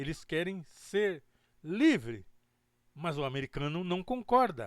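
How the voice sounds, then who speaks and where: A man's voice with very wide pitch swings at a very slow pace, dry and close with no echo, in a very clean recording with a silent background. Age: 70s. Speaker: podcast host and web radio presenter. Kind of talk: casual commentary reacting to a played video. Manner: conversational, informal.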